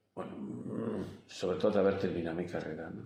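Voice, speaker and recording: The voice has a dark, mellow tone, heard with audible room echo. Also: man. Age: 70s. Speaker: engineer and teacher, interviewee. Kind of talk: interview. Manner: halting.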